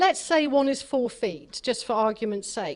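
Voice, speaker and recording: Against a quiet background, a woman with an English accent talks at a moderate pace with lively intonation. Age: 60s. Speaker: author and dowsing expert. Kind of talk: talk with audience Q&A. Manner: animated.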